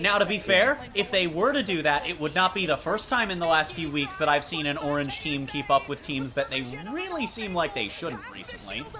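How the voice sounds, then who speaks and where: With music in the background, the speech moves at a fairly quick pace. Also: woman. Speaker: streamer and esports caster. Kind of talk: casual chat. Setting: live stream watch party. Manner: fast.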